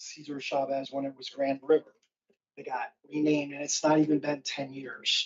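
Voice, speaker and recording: With a fairly high pitch and big swings in loudness, a man talks at a moderate pace, leaving long, frequent pauses. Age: 60s. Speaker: business owner giving public comment. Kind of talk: public comment at council meeting. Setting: city council committee meeting.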